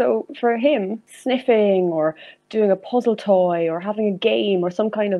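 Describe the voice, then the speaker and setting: The voice is a woman's, in an Irish accent. She speaks at a moderate speed. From Ireland, County Meath. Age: 20s. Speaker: zoology student and dog enrichment enthusiast. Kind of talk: interview.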